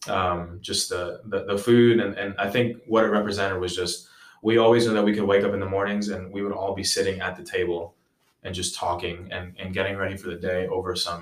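In a normal speaking voice, a man with an American accent talks at a fairly quick pace, his fairly low pitch moving in fairly even intonation. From New York (NYC, Long Island). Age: 20s. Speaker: ESL teacher and baseball coach. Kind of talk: casual interview chat.

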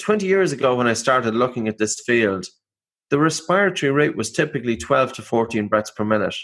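Speaking fairly quickly with an Irish accent, a man keeps a medium pitch and lively intonation. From Ireland. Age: 40s. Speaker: breathing expert and author. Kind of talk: interview.

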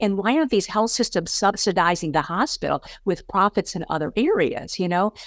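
A woman at medium pitch, talking at a fairly quick pace with lively intonation. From US Midwest, St. Louis, Missouri. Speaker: retired physician. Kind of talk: interview conversation.

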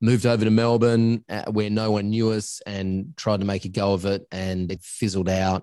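Over a quiet background, a man with an Australian accent speaks in a dark, mellow tone at a fairly low pitch with ordinary pitch variation. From Australia, northern suburbs of Adelaide. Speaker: agency coach and founder, former voiceover artist. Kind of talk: interview. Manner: talkative, rambling.

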